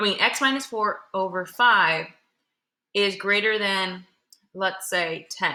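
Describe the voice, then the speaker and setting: With a bright, sharp tone, a woman speaks at a moderate pace using lively intonation. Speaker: middle school math teacher. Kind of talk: classroom lesson. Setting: classroom. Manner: casual, conversational.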